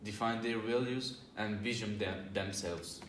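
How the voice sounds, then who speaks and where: A man speaks with a non-native accent in a room with audible echo and noticeable background noise. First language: not English. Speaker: job interview candidate in student role-play. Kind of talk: scripted role-play presentation. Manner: halting.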